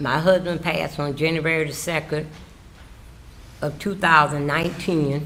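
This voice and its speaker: In a South Carolina accent, a woman with a very deep, low pitch speaks at a moderate pace in a monotone, flat intonation, with long, frequent pauses and audible room echo. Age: 70s. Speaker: witness, housekeeper. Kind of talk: testimony. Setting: courtroom, witness stand.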